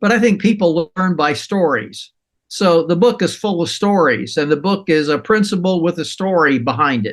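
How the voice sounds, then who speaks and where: A high-pitched man with an American accent at a moderate pace. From US, Colorado. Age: 80s+. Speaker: author and stewardship advocate. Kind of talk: interview.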